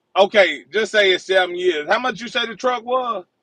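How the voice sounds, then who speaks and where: A raised, projected voice with a bright, sharp tone and ordinary pitch variation, in a dry, close sound with no echo. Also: man. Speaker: truck driver. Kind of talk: heated debate. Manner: loud.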